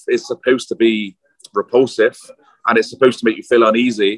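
A man with a British accent speaks at a fairly quick pace. The sound is dry and close with no echo. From UK, London. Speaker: film director and writer. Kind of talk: casual interview chat. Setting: outside a pub, noisy, video or phone call.

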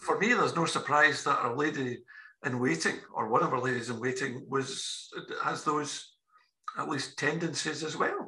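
At a moderate pace, a man with a Scottish accent speaks at a fairly high pitch in a bright, sharp tone. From Scotland. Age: 60s. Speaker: podcast editor and interviewer. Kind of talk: casual political chat.

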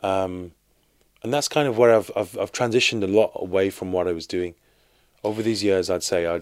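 At a fairly quick pace, someone speaks with a Birmingham accent and ordinary pitch variation. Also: man. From Birmingham, England (Sparkbrook). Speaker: street artist. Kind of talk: interview. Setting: studio.

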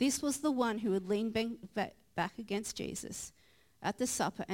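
With ordinary pitch variation, someone reads in a natural reading voice.

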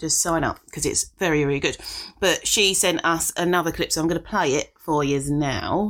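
In an unremarkable speaking voice, a woman with a fairly low pitch talks at a fairly quick pace, her intonation fairly even and loudness very even, in a very clean recording with a silent background. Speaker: podcast co-host. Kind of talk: casual chat.

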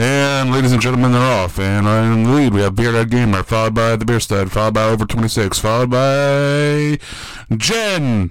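Booming put-on character voice from a man, medium in pitch, at a moderate pace over light background noise. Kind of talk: theatrical. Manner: booming, close to the mic.

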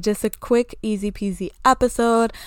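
A woman talks at a moderate pace with fairly even intonation. The recording is very clean, with a silent background. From Grenada. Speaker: podcast host, life coach. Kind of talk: casual solo monologue.

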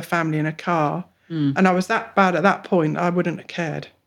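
The delivery moves at a fairly quick pace with fairly even intonation in an English accent. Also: woman. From England. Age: 40s. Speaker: mental health client. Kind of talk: personal testimony.

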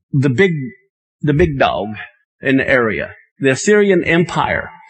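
A man's fairly high voice, fairly slow and lively in intonation, with music in the background. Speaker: pastor. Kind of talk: sermon.

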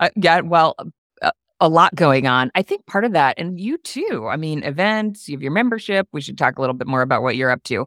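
In an American accent, a woman with a fairly low pitch talks at a fairly quick pace with very wide pitch swings, the sound dry and close with no echo in a very clean recording with a silent background. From upstate New York. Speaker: coworking consultant and educator. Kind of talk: casual interview chat.

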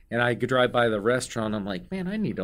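On a very clean recording with a silent background, an unremarkable speaking voice talks at a fairly quick pace with an American accent. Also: man. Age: 50s. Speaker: restaurant owner. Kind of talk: casual chat. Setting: studio.

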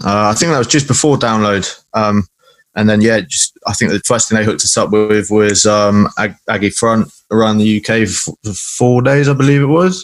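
With a southern English accent, a man speaks at a moderate pace in a fairly low pitch with ordinary pitch variation. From Salisbury, southern England. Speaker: guitarist in a hardcore band. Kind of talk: casual chat.

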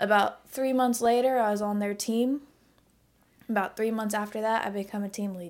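A woman with a Midwestern US accent, medium-pitched and monotone, flat, on a very clean recording with a silent background. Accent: US Midwest. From Indiana, Indianapolis. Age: 20s. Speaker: photographer and warehouse team lead. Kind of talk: casual chat.

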